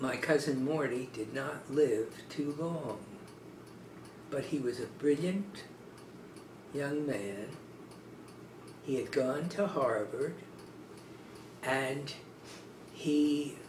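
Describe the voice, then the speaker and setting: Long, frequent pauses break up a man's very slow speech in an American accent. His pitch is fairly high with ordinary variation, and noticeable background noise is present. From Newark, New Jersey. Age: 80s+. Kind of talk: oral history interview answer.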